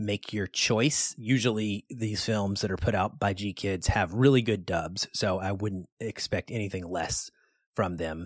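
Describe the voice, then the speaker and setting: A man with an ordinary speaking voice talks fairly slowly in a fairly low pitch with ordinary pitch variation, recorded very cleanly with a silent background and a dry, close sound with no echo. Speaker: film review podcast host. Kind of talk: film review chat.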